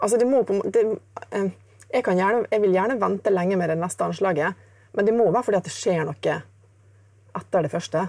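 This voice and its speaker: At a fairly quick pace, a woman talks with a dark, mellow tone, a medium pitch and ordinary pitch variation. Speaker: jazz guitarist. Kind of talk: casual interview.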